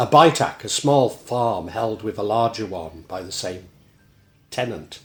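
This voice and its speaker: In a Shropshire accent, a man speaks at a fairly slow pace and medium pitch, his voice somewhat breathy and his intonation lively. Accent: Shrewsbury pronunciation. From Shropshire, England (Shrewsbury area). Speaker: local history presenter. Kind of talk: casual monologue; reading aloud.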